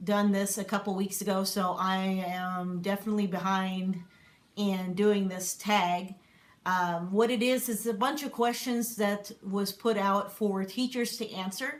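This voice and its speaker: At a fairly slow pace, a woman speaks in a plain, everyday voice, medium in pitch with fairly even intonation. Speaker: homeschooling parent and substitute teacher. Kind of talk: casual vlog. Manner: many filler words.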